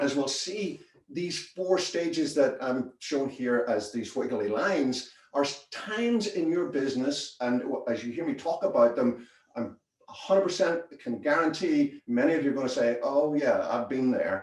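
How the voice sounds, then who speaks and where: A man with a Northern Irish accent, a fairly high pitch and a moderate pace. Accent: Northern Irish, retained. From Northern Ireland, Belfast. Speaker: business consultant. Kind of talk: presentation.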